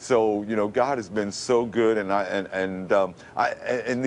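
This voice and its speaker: A man with an American accent talks at a fairly low pitch with ordinary pitch variation. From Brooklyn, New York. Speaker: radio announcer. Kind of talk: TV interview answer. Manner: emotional.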